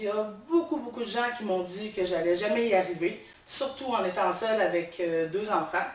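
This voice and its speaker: Amid noticeable background noise and audible room echo, a woman with a medium pitch speaks with lively intonation. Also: moderate pace. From Quebec, Beauce region. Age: 30s. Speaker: social worker, game show applicant. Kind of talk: audition video monologue. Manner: hesitant, many fillers.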